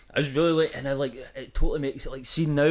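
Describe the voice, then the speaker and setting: Speaking with a Glaswegian accent, a man talks at a very fast pace in an animated tone. His pitch varies in an ordinary way. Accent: Glaswegian Scottish. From Scotland, East Kilbride near Glasgow. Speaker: music producer and social media creator. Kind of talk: casual chat.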